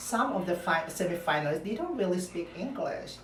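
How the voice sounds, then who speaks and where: A woman with a Filipino accent at a moderate pace, lively in intonation, with audible room echo and noticeable background noise. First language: Filipino language. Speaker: pageant commentary vlogger. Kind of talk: opinion vlog. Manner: halting.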